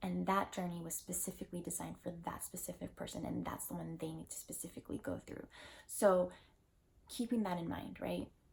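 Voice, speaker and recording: A woman speaks in a soft-spoken manner. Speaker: lifestyle vlogger. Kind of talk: personal vlog monologue. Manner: casual, filler-heavy.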